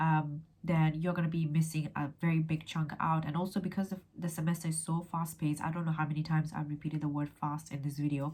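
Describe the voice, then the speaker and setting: A woman talks at a very fast pace with hardly any pauses. Her somewhat breathy voice is very deep and low, with monotone, flat intonation. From England. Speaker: law graduate and tutor; tutor. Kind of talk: educational vlog. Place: home room. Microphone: phone near.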